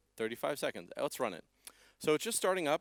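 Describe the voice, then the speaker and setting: A man speaks with a Canadian accent and lively intonation. The recording is very clean, with a silent background. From Canada. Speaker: software developer presenting at conference. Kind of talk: conference talk with live demo. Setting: stage with audience. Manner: fast; animated.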